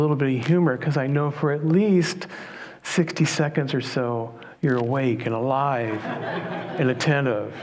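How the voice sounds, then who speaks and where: Over noticeable background noise and audible room echo, a man talks. His pitch is fairly high, with ordinary variation. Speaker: minister. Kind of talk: sermon. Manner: calm, soothing.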